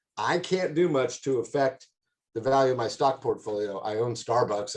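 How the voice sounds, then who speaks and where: A man's somewhat breathy voice at a medium pitch. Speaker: commercial real estate director. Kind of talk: presentation. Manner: fast.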